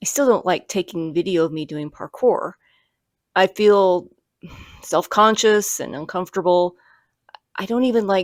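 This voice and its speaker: A woman speaks quietly at a moderate pace and a medium pitch with ordinary pitch variation, her loudness swinging widely and her long pauses frequent, on a very clean recording with a silent background and a dry, close sound with no echo. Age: 50s. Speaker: YouTuber, parkour practitioner. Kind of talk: personal vlog reflection. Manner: quiet, low-key; hesitant, some repetitions.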